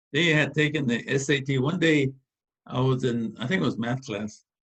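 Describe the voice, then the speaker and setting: A man talks at a moderate pace with medium pitch. His voice is somewhat breathy, with ordinary pitch variation. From US West Coast, East Los Angeles. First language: Spanish. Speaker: engineer, organization founder. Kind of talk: interview. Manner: halting.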